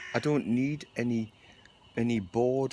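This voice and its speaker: A man speaks at a fairly slow pace with ordinary pitch variation. There is noticeable background noise. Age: 60s. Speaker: video blogger. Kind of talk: casual monologue.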